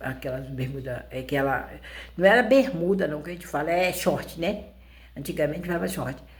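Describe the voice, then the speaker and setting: A woman's voice with vocal fry and ordinary pitch variation, in audible room echo. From rural Brazil. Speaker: YouTuber. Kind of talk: personal storytelling. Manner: halting, repetitive.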